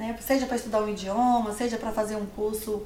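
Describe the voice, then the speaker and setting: A woman with a fairly high voice is heard through noticeable background noise and audible room echo. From Bahia, Brazil (Livramento). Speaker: entrepreneur. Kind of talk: interview. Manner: halting.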